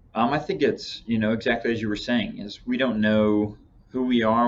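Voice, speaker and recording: A man at medium pitch with a Texas accent. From Texas Panhandle. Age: young. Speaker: young church member. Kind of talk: casual chat.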